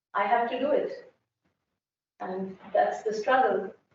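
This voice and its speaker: Lively intonation from a woman at a moderate pace, amid audible room echo. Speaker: architecture professor. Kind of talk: conference talk.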